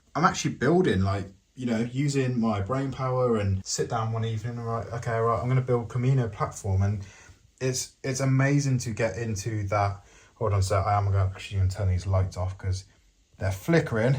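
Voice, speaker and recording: Somewhat breathy, a man speaks at a fairly quick pace with an English accent. His pitch is medium, with ordinary variation. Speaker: Lego builder YouTuber. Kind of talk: casual video tutorial showcase. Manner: energetic; rambling.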